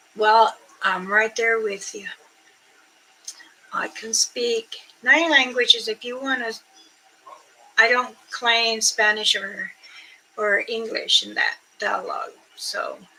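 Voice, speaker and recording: A woman speaks very slowly with long, frequent pauses and big swings in loudness. Noticeable background noise runs underneath. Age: 60s. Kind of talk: casual livestream chat. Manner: rambling, halting.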